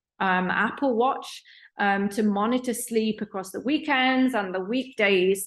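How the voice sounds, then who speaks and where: The speaker has a British accent and a moderate pace. Pitch varies in an ordinary way. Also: woman. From UK. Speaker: professor. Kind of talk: lecture. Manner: hesitant fillers.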